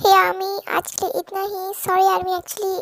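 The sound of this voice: At a moderate pace, a woman with an extremely high voice speaks in a monotone, flat way, in a dry, close recording with no echo.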